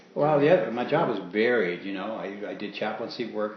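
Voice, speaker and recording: A man's fairly low voice with fairly even intonation, over noticeable background noise. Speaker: war veteran. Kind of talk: interview answer.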